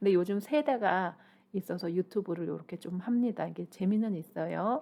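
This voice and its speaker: The voice has a dark, mellow tone with vocal fry. Its intonation is lively and its pace moderate. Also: woman. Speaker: shaman and career counselor. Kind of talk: YouTube talk on finding one's calling. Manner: halting, stumbles over pronunciation; conversational, informal.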